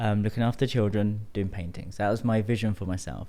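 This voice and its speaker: Fairly low in pitch and dark and mellow in tone, a man's voice moves at a fairly quick pace. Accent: British. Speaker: tantra coach. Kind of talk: podcast interview.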